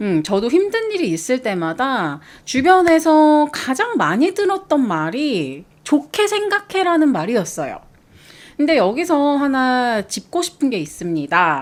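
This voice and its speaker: Very slowly and in a cheerful tone, a woman speaks at a high pitch with very wide pitch swings. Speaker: art commentary video host. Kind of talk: reflective talk to camera. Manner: bright, cheerful.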